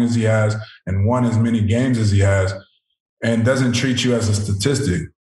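A man's fairly quick, monotone, flat delivery amid audible room echo. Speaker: professional football player; guest. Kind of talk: interview. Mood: calm, reflective. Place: home room. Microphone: video call.

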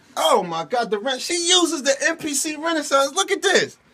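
Clear music plays in the background. A man with an extremely high voice speaks at a moderate pace with lively intonation. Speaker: person filming. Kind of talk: casual talk to camera. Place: studio. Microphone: phone near.

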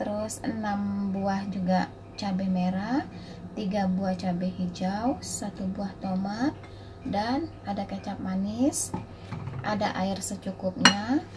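Music plays in the background. Over it, a woman talks at a very slow pace. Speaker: home cook vlogger. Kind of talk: cooking tutorial. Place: kitchen. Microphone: phone near.

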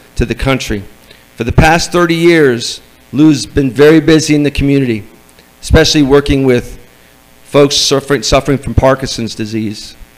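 Here a man has an ordinary speaking voice, fairly high in pitch. He talks at a moderate pace with ordinary pitch variation. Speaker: event host. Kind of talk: speaker introduction. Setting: stage with audience. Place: meeting room. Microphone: handheld.

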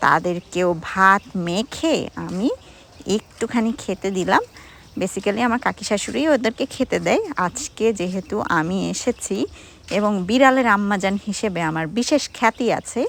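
A woman speaks at a medium pitch in an ordinary speaking voice, with ordinary pitch variation. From Bangladesh, Gopalganj. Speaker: vlogger. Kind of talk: vlog narration.

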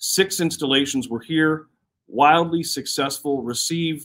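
At a medium tempo, a man is talking. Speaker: presenter. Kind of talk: presentation to live stream viewers. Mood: enthusiastic, upbeat. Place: hall. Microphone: phone near.

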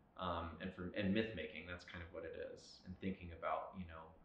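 In a room with audible echo, a man talks at a moderate pace with a very deep, low pitch. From South Louisiana (Lafayette). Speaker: painter. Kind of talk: artist interview monologue. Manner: reflective, with frequent filler words.

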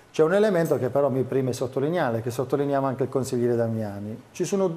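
In a dark, mellow tone, a man races along at a very fast pace with lively intonation. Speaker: city councilman for public services. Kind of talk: political debate. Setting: TV studio. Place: studio. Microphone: lapel.

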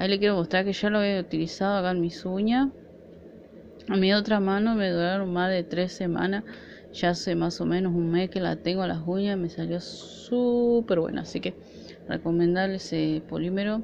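Light background noise sits behind a woman's voice. She talks at a moderate pace with fairly even intonation. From Argentina. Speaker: nail art vlogger. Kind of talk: product haul video; casual haul vlog chat. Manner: casual, hesitant. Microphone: phone near.

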